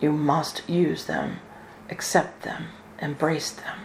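Noticeable background noise sits behind a woman speaking at a very slow pace. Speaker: spiritual channeler and minister. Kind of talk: spiritual channeling in a deep meditative trance, delivering an angelic message; live online ceremony and talk. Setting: video call webinar with online audience. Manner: slow, calm, measured and solemn, with a soothing, authoritative cadence.

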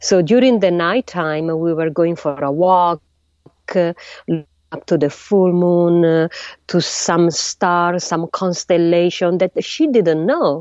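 Using an Italian accent, a woman speaks at a very slow pace in a fairly low pitch with ordinary pitch variation. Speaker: astrophysicist. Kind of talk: interview. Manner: halting.

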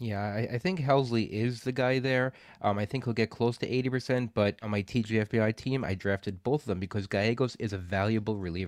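A man with an unremarkable speaking voice talks at a fairly quick pace with hardly any pauses, his medium pitch showing ordinary variation. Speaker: fantasy baseball podcast co-host. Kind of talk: casual chat.

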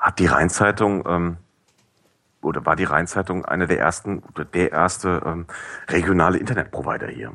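A bright, sharp male voice talks at a medium speed. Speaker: podcast review blogger. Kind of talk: casual chat. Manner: hesitant, many fillers. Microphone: cheap headset, high noise.

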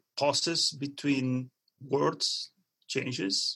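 A man speaks at a very slow pace. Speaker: computational neuroscience researcher. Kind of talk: interview, explanatory talk. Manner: halting, with many fillers.

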